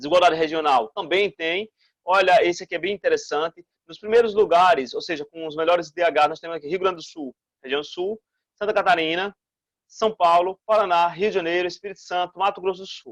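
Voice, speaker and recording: This man speaks at a high pitch and fairly quick pace, with an animated tone and ordinary pitch variation. His loudness swings widely, and the sound is dry and close with no echo. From Brazil, Northeast. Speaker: school teacher. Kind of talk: recorded online lesson. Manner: fast.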